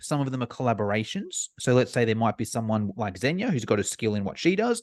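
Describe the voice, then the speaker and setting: Against a quiet background, a man with an Australian accent talks at medium pitch and a fairly quick pace, with a dry, close sound with no echo. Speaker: online fitness course provider. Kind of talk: podcast interview.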